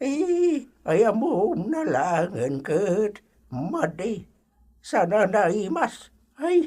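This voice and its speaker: A put-on character voice at a very slow pace, with very wide pitch swings. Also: woman, medium pitch for a woman. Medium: audio drama. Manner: chatty, laughing.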